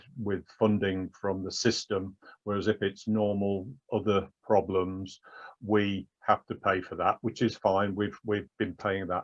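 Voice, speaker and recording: In a dry, close sound with no echo and a quiet background, a man with an English accent speaks in a flat monotone. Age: 60s. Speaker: patient advocate with prostate cancer. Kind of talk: interview testimony. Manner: halting, with repetitions.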